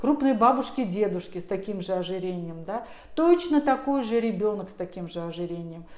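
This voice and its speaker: A woman of medium pitch speaks at a moderate pace with ordinary pitch variation, amid noticeable background noise and audible room echo. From Russia, Tver. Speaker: pediatrician. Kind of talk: interview. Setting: office.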